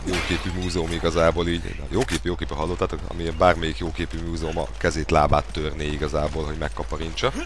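A man talks at a fairly quick pace with very wide pitch swings. There is audible room echo along with noticeable background noise. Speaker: gaming video creator. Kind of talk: let's play commentary. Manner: animated.

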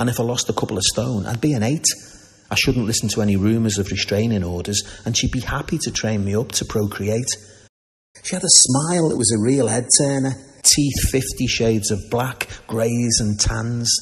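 In a Liverpool accent, a man talks at a moderate pace with ordinary pitch variation. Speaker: poet. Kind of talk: comic poetry reading. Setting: live reading in a barber shop. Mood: dry deadpan humour. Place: shop.

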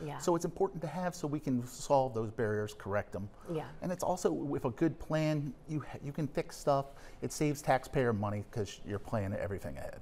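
At a fairly quick pace, a man with a dark, mellow tone speaks with lively intonation over light background noise. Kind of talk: interview answer. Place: studio. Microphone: lapel.

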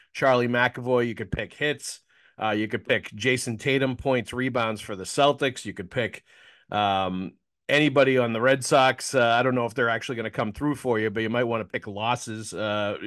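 A man speaks over a quiet background at a moderate pace. His intonation stays fairly even. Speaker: sports podcast host. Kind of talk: ad read in a podcast. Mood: casual, joking. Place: home room. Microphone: studio mic.

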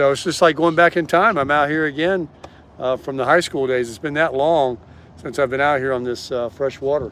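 Over light background noise, a man speaks at a fairly quick pace with ordinary pitch variation and a dry sound with no echo. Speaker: vlogger. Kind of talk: casual vlog chat. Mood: relaxed, cheerful. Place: boat. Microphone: phone near.

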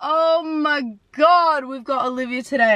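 A woman speaks in a raised, projected voice at a fairly slow pace with lively intonation, and the sound is dry and close with no echo. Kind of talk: casual reaction video talk. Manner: excited.

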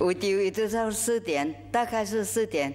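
There is light background noise as a woman speaks at a fairly slow pace. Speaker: charity worker. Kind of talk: interview answer. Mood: warm, smiling. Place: stage. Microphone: lapel.

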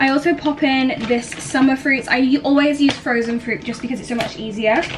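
Music plays behind a woman as she speaks. She keeps a moderate pace. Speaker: lifestyle vlogger. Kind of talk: casual vlog chat. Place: kitchen. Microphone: camera far.

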